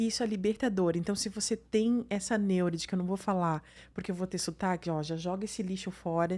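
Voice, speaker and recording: A woman's medium-pitched voice, dark and mellow in tone, with fairly even intonation and a very clean recording over a silent background. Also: fairly quick pace. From southern Brazil. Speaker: podcast host, psychologist. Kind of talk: podcast interview.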